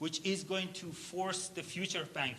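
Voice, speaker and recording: A high-pitched man uses a raised, projected voice, and room echo is audible. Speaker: workshop facilitator, startup founder. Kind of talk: workshop instruction. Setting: conference hall with audience at tables. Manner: fast.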